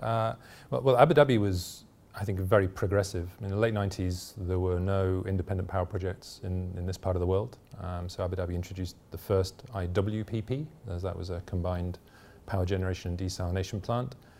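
A man with a British accent talks at a very fast pace in a very deep, low voice, his intonation fairly even. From UK. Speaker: energy regulator executive. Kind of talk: interview. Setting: conference venue. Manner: hesitant, many fillers.

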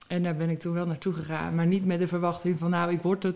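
A woman's voice at a fairly low pitch. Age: 20s. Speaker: reality TV contestant and flight purser. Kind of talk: casual interview.

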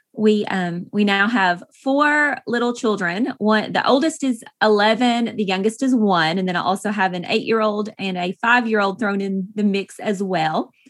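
A woman with an East Tennessee accent, medium in pitch with ordinary pitch variation, at a moderate pace with hardly any pauses. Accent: Southern US (East Tennessee). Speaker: author and farm wife. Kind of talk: interview.

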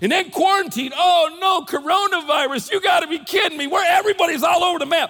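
A man with an American accent speaks in a raised, projected voice at an extremely high pitch. He goes very fast, with noticeable background noise behind him. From United States. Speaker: pastor. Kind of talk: sermon. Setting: church with congregation. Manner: repetitive false starts.

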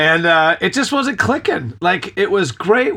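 In a very clean recording with a silent background, a man with an American accent speaks at a moderate pace, using lively intonation and a bright, sharp tone. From California.

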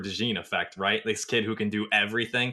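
In an American accent, a man speaks at a fairly quick pace with a bright, sharp tone against a quiet background. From Northwest Iowa. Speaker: sports recruiting analyst and podcast host. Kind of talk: casual sports podcast chat.

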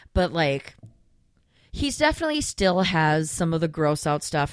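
A woman is speaking. Her pitch sits very deep and low. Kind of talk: casual chat. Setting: studio.

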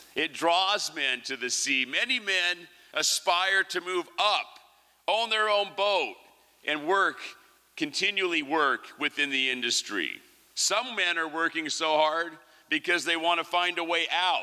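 A man talks at a fairly slow pace in a high, bright, sharp and animated tone. His pitch variation is ordinary. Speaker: fisherman and poet. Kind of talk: poem performed on stage. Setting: stage with audience in theatre. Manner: animated, rhythmic, wry; deliberate, cadenced delivery.

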